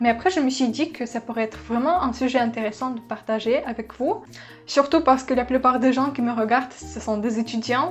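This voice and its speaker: Over music in the background, a woman with a non-native accent speaks at a fairly quick pace in a high pitch with ordinary pitch variation. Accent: foreign accent in French. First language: not French (speaking French). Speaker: YouTuber, medical student. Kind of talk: vlog-style advice talk. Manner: casual, some hesitations.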